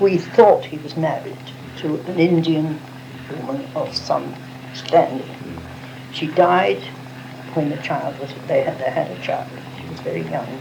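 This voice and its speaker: Amid noticeable background noise, a woman speaks at a fairly slow pace, with long, frequent pauses and big swings in loudness. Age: 80s+. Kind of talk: oral history interview answer. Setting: cassette recording.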